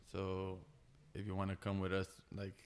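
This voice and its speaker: With a Brazilian accent, a man speaks at a fairly low pitch. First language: Portuguese. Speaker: tattoo artist. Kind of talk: casual chat. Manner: halting.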